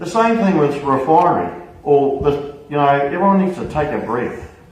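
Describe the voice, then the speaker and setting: Against noticeable background noise, a man with a New Zealand accent and a fairly high pitch speaks at a moderate pace, with very wide pitch swings and big swings in loudness. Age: middle-aged. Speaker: trade union official. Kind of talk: public meeting Q&A. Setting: public meeting hall with audience.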